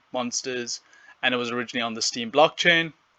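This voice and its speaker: A man with a South African accent speaks in a bright, sharp tone. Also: quiet background. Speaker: gaming YouTuber. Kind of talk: monologue recap of an interview. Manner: casual with fillers.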